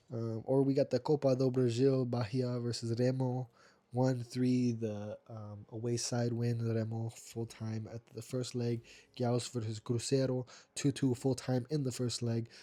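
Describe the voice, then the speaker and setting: A man's medium-pitched voice, dark and mellow in tone, fairly slow, with monotone, flat intonation. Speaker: football results youtuber. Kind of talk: casual results roundup. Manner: casual, many fillers (um, uh).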